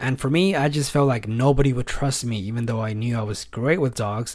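The speaker is a man with a medium pitch. He talks at a fairly quick pace with ordinary pitch variation. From California. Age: 30s. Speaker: podcast host and pet sitter. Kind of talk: casual monologue.

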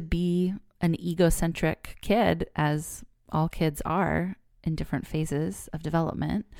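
A woman with a Californian accent, fairly low in pitch, with a dark, mellow tone at a very slow pace, in a very clean recording with a silent background. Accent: Californian American English. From California, Bay Area. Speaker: podcast host, therapist. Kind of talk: solo podcast monologue.

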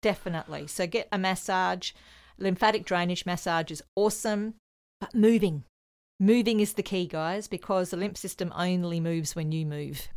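On a very clean recording with a silent background, a woman speaks in a plain, everyday voice at a moderate pace and medium pitch with ordinary pitch variation. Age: 50s. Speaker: psychic medium and spiritual teacher. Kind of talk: casual chat.

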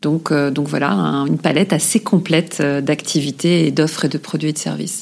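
With vocal fry and a very deep, low pitch, a woman speaks at a moderate pace with ordinary pitch variation and hardly any pauses. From eastern France (Moselle/Alsace area). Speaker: corporate sustainability director. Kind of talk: interview. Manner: hesitant, many fillers and repetitions.

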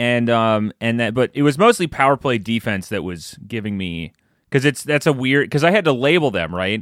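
Lively intonation from a man, dry and close with no echo, on a very clean recording with a silent background. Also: medium pitch for a man. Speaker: podcast co-host, hockey analyst. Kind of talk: casual chat. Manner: fast talker.

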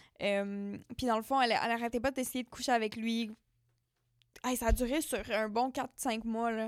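On a very clean recording with a silent background, a woman with a fairly high pitch and fairly even intonation speaks at a fairly slow pace, leaving long, frequent pauses. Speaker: podcast co-host. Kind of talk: casual chat.

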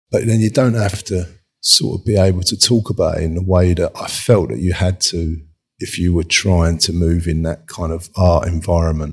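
A very deep, low, somewhat breathy male voice in a London accent, at a moderate pace with ordinary pitch variation. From London, Hackney/Dalston. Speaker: furniture designer. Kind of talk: casual interview. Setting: video call.

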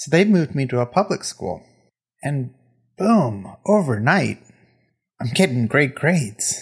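A fairly high-pitched, somewhat breathy man at a fairly slow pace, with very wide pitch swings and long, frequent pauses. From England, Indian family. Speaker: podcast host. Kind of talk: personal monologue. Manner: hesitant, repeats words.

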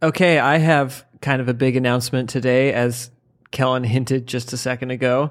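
Monotone and flat, a man speaks at medium pitch and a moderate pace. The recording is very clean, with a silent background. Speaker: comedian podcast co-host. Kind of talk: casual comedic banter about a book. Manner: joking, laughs often.

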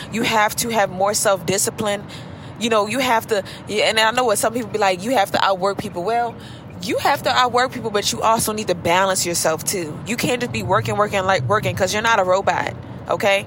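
The tone is warm and animated, and the pace is fairly quick. Noticeable background noise sits behind the voice. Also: woman, medium pitch for a woman, ordinary pitch variation. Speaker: beauty professional podcaster. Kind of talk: pep talk; casual chat. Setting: in a car while driving. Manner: warm, animated, preacher-like encouragement; unscripted, conversational, chatty.

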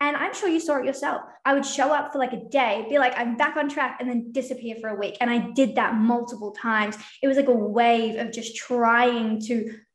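A woman talks at a high pitch, and audible room echo colors her voice. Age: 20s. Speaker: business consultant. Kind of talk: casual interview.

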